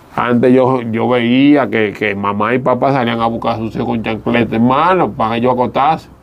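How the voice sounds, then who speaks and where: Over noticeable background noise, a man with a medium pitch talks at a fairly quick pace, with hardly any pauses and fairly even intonation. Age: 40s. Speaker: former stripper turned evangelist. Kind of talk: testimony.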